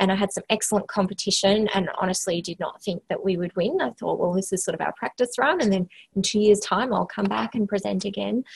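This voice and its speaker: A woman with an Australian accent talks very fast, with hardly any pauses. Her pitch is medium, with vocal fry. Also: ordinary pitch variation. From Western Australia, small country town. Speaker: health organisation CEO, former occupational therapist. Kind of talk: interview. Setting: office, remote call.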